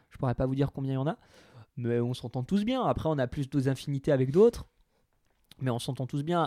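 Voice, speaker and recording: A man's dark, mellow tone comes through as he talks fairly quickly. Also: dry, close sound with no echo, very clean recording, silent background. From Franche-Comté, France (Territoire de Belfort). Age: 20s. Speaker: radio host. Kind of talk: casual interview. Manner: smiling, upbeat.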